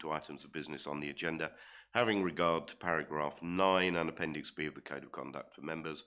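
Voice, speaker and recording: Someone with a southern English accent talks very fast, with ordinary pitch variation. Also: man. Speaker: council committee chairman. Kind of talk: formal committee meeting chairing. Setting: council chamber meeting, live streamed. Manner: hesitant, many ums.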